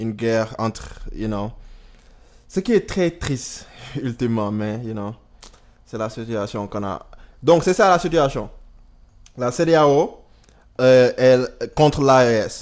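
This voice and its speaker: Speaking very slowly with long, frequent pauses, a man uses a medium pitch, lively intonation and big swings in loudness. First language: Wolof (speaking French). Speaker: YouTuber, political commentator. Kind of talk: casual video commentary. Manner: halting, with fillers and English words.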